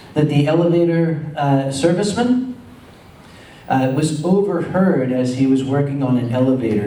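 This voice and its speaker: A man with an American accent speaks fairly slowly in a fairly high voice with lively intonation. Noticeable background noise and audible room echo fill the recording. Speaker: convention organizer. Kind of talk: convention panel talk.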